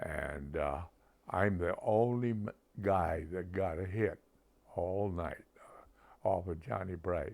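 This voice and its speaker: A man with an American accent speaks at a very slow pace in a very deep, low voice, with ordinary pitch variation and long, frequent pauses. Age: 80s+. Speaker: retired softball player. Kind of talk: documentary interview.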